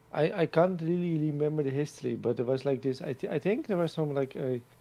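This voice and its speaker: In a Dutch accent, a man speaks with a dark, mellow tone at a fairly high pitch, with ordinary pitch variation. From Netherlands. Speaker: streamer. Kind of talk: casual chat.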